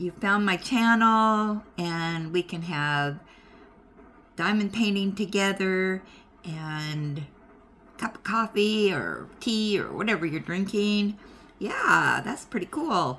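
Speaking very slowly, a woman uses a bright, sharp tone with ordinary pitch variation. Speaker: craft hobby vlogger. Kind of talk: casual vlog chat. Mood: warm, welcoming, relaxed. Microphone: phone near.

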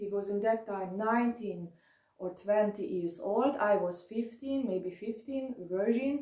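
A woman with a fairly high pitch speaks at a very slow pace and ordinary pitch variation. There is audible room echo but the background is quiet. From Germany, near Dresden, then Hungary from age 11; Germany. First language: German. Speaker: video blogger. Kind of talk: personal testimony monologue; emotional monologue. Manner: halting. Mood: angry, aggrieved. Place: home room. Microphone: phone near.

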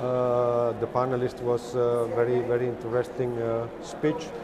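A man speaks while noticeable background noise carries on around him. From Italy, Turin; Italy. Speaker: business executive. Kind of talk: interview. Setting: conference media area. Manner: halting, many fillers. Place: hall. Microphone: lapel.

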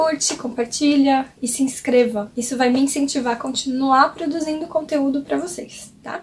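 A woman with a high voice keeps her intonation fairly level, talking neither fast nor slow. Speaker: cooking teacher. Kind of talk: lecture. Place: home room.

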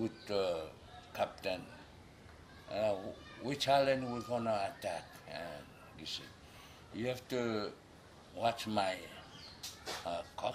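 A man speaks at a very slow pace with long, frequent pauses against noticeable background noise. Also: medium pitch for a man, ordinary pitch variation. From Micronesia, Yap outer islands. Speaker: cultural leader, storyteller. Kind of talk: traditional legend told in interview. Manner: hesitant, many fillers.

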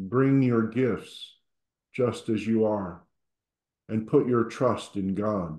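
A man speaks at a very slow pace and medium pitch, with a calm, soothing, dark, mellow tone. Long, frequent pauses break his speech, and there is audible room echo. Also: ordinary pitch variation, quiet background. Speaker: service leader. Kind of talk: guided prayer. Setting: church. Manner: calm, soothing, slow and gentle. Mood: calm, quiet, devotional. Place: home room. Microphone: video call.

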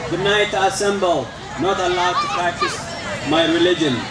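A man talks at a moderate speed while noticeable noise sits behind him. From Eritrea. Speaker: refugee advocate. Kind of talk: poetry reading. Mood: earnest, solemn. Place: garden. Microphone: podium.

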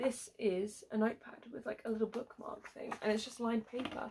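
A woman with a British accent talks at a fairly quick pace, her loudness swinging widely. Light background noise sits behind her. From UK. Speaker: YouTuber doing unboxing videos; unboxing vlogger. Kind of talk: casual unboxing vlog. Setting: at home at her desk. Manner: animated. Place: home room. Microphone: phone near.

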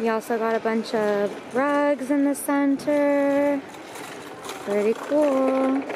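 Faint background noise sits behind slow speech with a slightly mellow tone. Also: woman.

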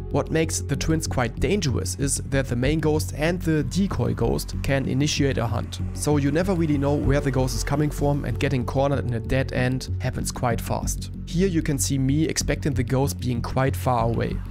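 A man with a German accent talks at a moderate pace and medium pitch, with very wide pitch swings, very even loudness and hardly any pauses. Music plays in the background. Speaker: gaming streamer. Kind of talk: game tutorial narration.

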